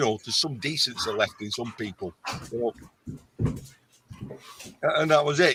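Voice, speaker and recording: A man's bright, sharp voice with lively intonation at a moderate pace, dry and close with no echo. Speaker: live stream guest. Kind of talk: casual chat.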